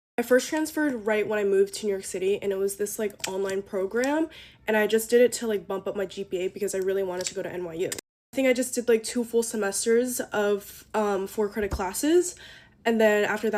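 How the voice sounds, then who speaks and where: Her pitch medium and its variation ordinary, a woman talks at a very fast pace. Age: 20s. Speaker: college student vlogger. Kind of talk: casual get-ready-with-me vlog. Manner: fast, chatty with many fillers.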